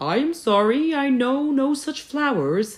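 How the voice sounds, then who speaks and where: A put-on character voice talks fairly slowly at a high pitch. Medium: read story.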